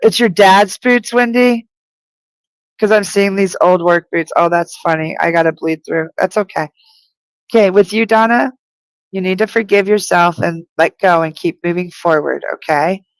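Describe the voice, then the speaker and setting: A woman with an American accent speaks in a plain, everyday voice at a medium pitch and a moderate pace, with ordinary pitch variation and a dry, close sound with no echo. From US (New Mexico and Virginia). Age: 50s. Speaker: spiritual medium. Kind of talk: live stream reading. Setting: live broadcast on video.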